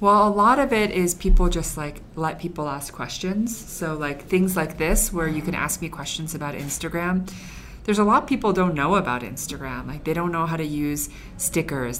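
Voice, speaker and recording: Music plays in the background and there is audible room echo. The speech moves at a moderate pace. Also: woman. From Chinese heritage. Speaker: former magazine editor, Instagram staff. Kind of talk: casual interview.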